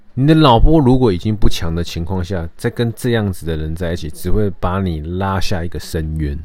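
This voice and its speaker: A man with a Taiwanese accent, very deep and low in pitch, at a fairly quick pace with lively intonation. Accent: Taiwanese Mandarin. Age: 30s. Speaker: podcast host. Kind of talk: casual monologue. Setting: home recording.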